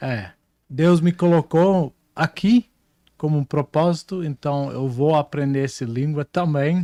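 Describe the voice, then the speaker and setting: In a very clean recording with a silent background and a dry, close sound with no echo, a man with a Dutch accent speaks very slowly in a dark, mellow tone at a fairly high pitch, with ordinary pitch variation. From Netherlands. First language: Dutch (speaking Portuguese). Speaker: prophet, preacher. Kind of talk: interview. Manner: halting, searching for words.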